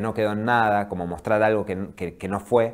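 Against a quiet background, a man with a fairly low pitch talks at a moderate pace in fairly even intonation. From Viedma, Patagonia, Argentina; Argentina. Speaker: documentary film director; guest. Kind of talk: interview. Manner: halting. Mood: calm, thoughtful. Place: studio. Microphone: lapel.

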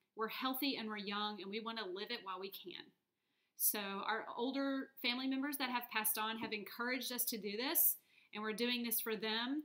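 With an American accent, a woman speaks in a bright, sharp tone and fairly even intonation against a quiet background. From US South, North Texas (Dallas area). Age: 30s. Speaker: vlogger. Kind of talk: personal video blog. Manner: hesitant, with fillers. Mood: hopeful, earnest. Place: home room. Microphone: webcam.

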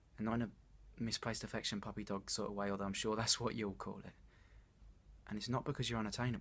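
At a very fast pace, a man with a fairly low pitch speaks in a monotone, flat intonation. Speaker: actor performing a monologue. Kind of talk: dramatic monologue, confession of love. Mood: earnest, vulnerable, a bit anxious. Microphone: phone near.

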